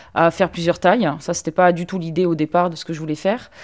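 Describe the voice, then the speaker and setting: Woman with a fairly low pitch. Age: 30s. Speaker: fashion designer. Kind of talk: casual chat. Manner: hesitant.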